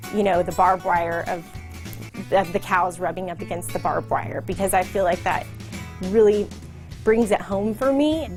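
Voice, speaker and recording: A woman with an American accent talks at a moderate pace and medium pitch. Her pitch swings very widely, with music in the background. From Texas. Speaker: leather handbag designer. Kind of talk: interview answer. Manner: casual, conversational.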